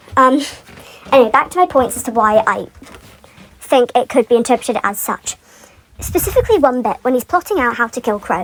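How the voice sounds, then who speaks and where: A woman's high pitch at a fairly quick pace amid noticeable background noise. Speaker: fan commentator. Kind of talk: unscripted rant. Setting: pacing around while recording. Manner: rambling, filler-heavy.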